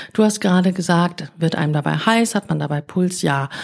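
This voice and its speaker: With lively intonation, the woman's voice comes across as somewhat breathy. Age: 40s. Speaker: podcast host and coach. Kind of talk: casual chat.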